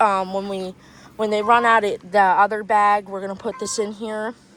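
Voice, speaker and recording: A woman speaks at a fairly high pitch. Noticeable background noise runs underneath. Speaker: small-animal keeper vlogger. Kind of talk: casual vlog tour. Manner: hesitant, many fillers.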